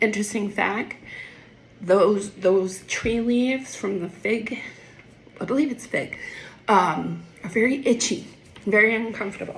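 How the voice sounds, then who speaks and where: A woman speaks at a fairly slow pace with ordinary pitch variation. Audible room echo and noticeable background noise come through. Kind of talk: casual Bible explanation. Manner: halting, with fillers.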